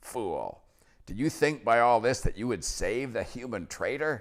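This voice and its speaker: A man's shaky, put-on character voice at medium pitch, raised and projected, on a very clean recording with a silent background. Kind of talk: dramatic, formal. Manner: quivering, trembling with passion.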